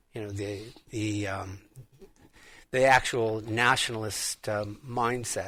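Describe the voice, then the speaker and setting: A man with an American accent speaks at a fairly slow pace in a bright, sharp tone, his pitch fairly low and his intonation monotone and flat. The recording is very clean, with a silent background. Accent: American accent, noticed by the Irish. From United States. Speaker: radio co-host. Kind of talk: talk radio discussion. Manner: halting, many repeated words.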